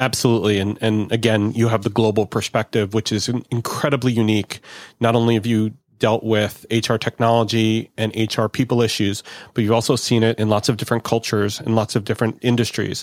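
The speech is very fast and enthusiastic in tone, with very even loudness. The recording is very clean, dry and close, with a silent background and no echo. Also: man, medium pitch for a man. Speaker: podcast host. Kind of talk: podcast interview.

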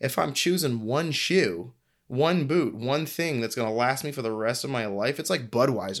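With a plain, everyday voice, a man with an American accent speaks at a moderate pace and medium pitch, his intonation lively, in a very clean recording with a silent background. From US Northeast (New England). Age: 30s. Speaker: footwear designer and brand founder. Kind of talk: casual interview.

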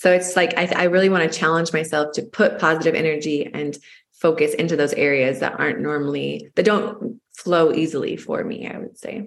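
A woman has an ordinary speaking voice at a fairly low pitch. She talks at a fairly quick pace with ordinary pitch variation. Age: 30s. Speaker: podcast co-host. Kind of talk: casual chat.

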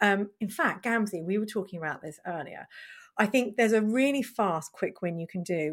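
With a British accent, a woman speaks at a medium pitch and a moderate pace, her intonation lively. The recording is very clean, with a silent background. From Britain. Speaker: marketing consultant, podcast host. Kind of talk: casual chat.

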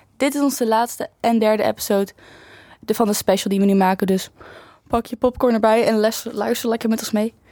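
A dark, mellow voice talks at a fairly quick pace with fairly even intonation. The recording is very clean and dry, with a close sound, no echo and a silent background. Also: woman. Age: 20s. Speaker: student podcast co-host. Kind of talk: casual chat.

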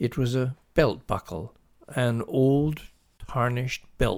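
This is a natural reading voice. It is heard here alone.

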